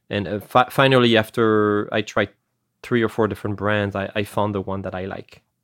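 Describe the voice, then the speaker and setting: This man speaks in a French accent at a fairly low pitch. His pace is moderate and his intonation monotone and flat. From France. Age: 40s. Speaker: strategy consultant. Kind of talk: interview. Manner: frequent hesitations and repetitions.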